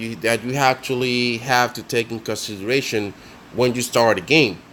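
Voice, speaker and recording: With a non-native accent, this man talks at a medium pitch. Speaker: mobile game tutorial creator. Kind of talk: casual game tutorial voice-over. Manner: hesitant, many fillers.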